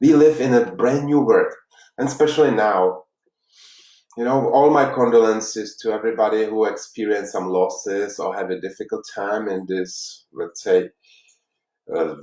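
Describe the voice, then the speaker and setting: A man's dark, mellow voice at medium pitch, in a Czech accent, at a moderate pace with ordinary pitch variation. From Czech Republic, Prague. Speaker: life coach. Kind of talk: workshop talk. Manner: halting.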